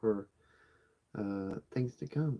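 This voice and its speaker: This soft-spoken voice has a dark, mellow tone and lively intonation at a moderate pace. The sound is dry and close, with no echo. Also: man. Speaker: homesteading channel co-host. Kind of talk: casual live chat.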